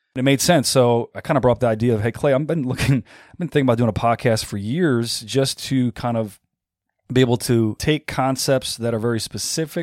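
Recorded dry and close with no echo on a very clean recording with a silent background, a man speaks at a fairly quick pace in a normal speaking voice of medium pitch with ordinary pitch variation. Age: 40s. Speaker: fitness coach and gym owner. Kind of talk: casual chat.

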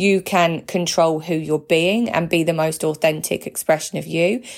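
At a fairly slow pace, a woman speaks in a passionate tone, her pitch fairly low with ordinary variation. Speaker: podcast host, spiritual coach. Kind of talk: solo monologue podcast. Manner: hesitant, many fillers and restarts; passionate, feisty delivery.

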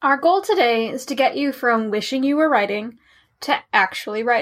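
The recording is very clean, with a silent background. A woman speaks at a moderate pace with a high pitch and lively intonation. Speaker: fantasy and romance writer. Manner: encouraging, reassuring, lightly humorous.

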